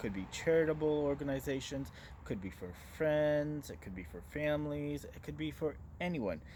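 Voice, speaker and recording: Lively in intonation, a man with a fairly high pitch and a dark, mellow tone speaks with big swings in loudness. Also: moderate pace. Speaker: business marketing talk show host. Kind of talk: monologue presentation to camera. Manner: loud and direct.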